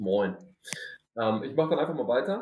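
With lively intonation, a man at a medium pitch talks in a normal speaking voice. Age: 20s. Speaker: recovering gambling addict. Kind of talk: self-help group conversation.

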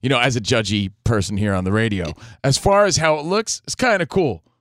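Very wide pitch swings from a man at a fairly quick pace, dry and close with no echo, in a very clean recording over a silent background. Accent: American. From New Jersey. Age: 40s. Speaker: sports radio host. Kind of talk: casual chat. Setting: studio.

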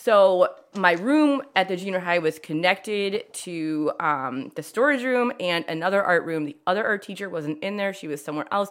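In a very clean recording with a silent background, a woman with an American accent speaks at medium pitch and a moderate pace, her intonation lively and with hardly any pauses. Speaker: art teacher and potter. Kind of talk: casual interview chat. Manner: loud talker, interrupts, jumps around.

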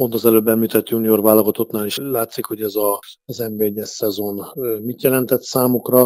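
A man's dark, mellow voice at a medium pitch, moderate in pace, with monotone, flat intonation. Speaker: national team coach. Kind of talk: radio interview.

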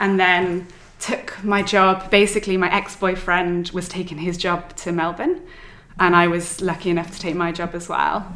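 The speech comes in a Welsh accent at a moderate pace with monotone, flat intonation. Noticeable background noise runs underneath. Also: woman, medium pitch for a woman. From Wales. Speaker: stationery designer and business owner. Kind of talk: casual interview chat. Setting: in person recording.

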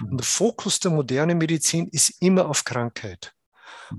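Over a quiet background, a man with an ordinary speaking voice and a fairly high pitch talks at a moderate pace, the sound dry and close with no echo. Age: 60s. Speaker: Ayurveda doctor. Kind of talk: interview.

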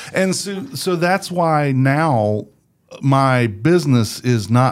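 Very wide pitch swings from a man with a medium-pitched voice. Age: 50s. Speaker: podcast producer and voice actor. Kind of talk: casual interview chat. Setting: studio.

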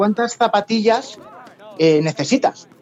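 The speech moves at a moderate pace with ordinary pitch variation, and noticeable background noise can be heard. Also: man. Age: 40s. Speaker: sports journalist. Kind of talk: podcast interview.

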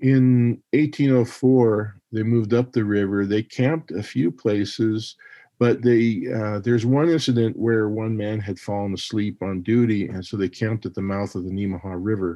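Here is an ordinary speaking voice: a man with an American accent and a fairly low pitch, speaking at a moderate pace with ordinary pitch variation. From Montana. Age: 60s. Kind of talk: interview.

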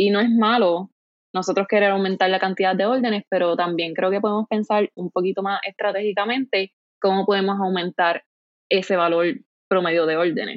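Here is a woman with an unremarkable speaking voice at medium pitch. She talks at a fairly quick pace with fairly even intonation. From Puerto Rico, Ponce (south). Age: 20s. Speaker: online store founder. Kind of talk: interview conversation.

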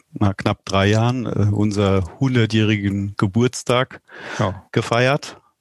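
This is a man with an ordinary speaking voice, fairly low in pitch, at a fairly slow pace. The sound is dry and close with no echo. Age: 40s. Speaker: company executive. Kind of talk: interview.

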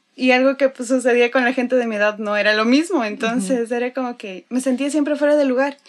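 A woman's high-pitched voice at a very fast pace, with ordinary pitch variation and hardly any pauses. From Ecuador, Quito. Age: 20s. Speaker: religious volunteer. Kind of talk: testimony.

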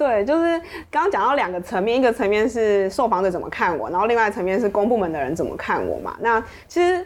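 Very wide pitch swings mark a woman's fairly high voice as she talks at a very fast pace over noticeable background noise. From Taiwan, Pingtung. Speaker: journalist. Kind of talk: interview conversation.

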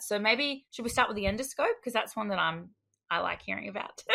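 A woman with an Australian accent has a bright, sharp tone touched with vocal fry. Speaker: podcast co-host. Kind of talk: casual interview chat.

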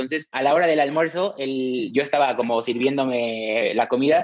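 A man with a Mexican accent talks at a fairly quick pace, fairly high in pitch, with lively intonation. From Mexico. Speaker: TV network executive. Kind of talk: interview testimony. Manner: halting, repeats words.

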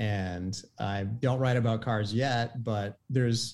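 A plain, everyday voice with fairly even intonation, on a very clean recording with a silent background. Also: man. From Maine, US. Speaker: automotive journalist. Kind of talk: casual interview.

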